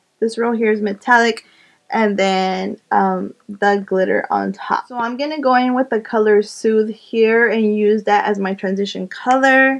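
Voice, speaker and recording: An ordinary speaking voice with an American accent moves at a fairly slow pace. The intonation stays fairly even. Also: woman, fairly high pitch for a woman. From Arizona, USA. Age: 20s. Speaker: beauty YouTuber. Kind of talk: makeup tutorial talk to camera.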